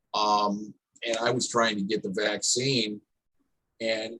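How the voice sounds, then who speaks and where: A man's fairly low voice at a fairly slow pace, with a dry, close sound and no echo. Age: 60s. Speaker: town hall panelist. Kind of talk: panel discussion. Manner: halting, repetitive starts.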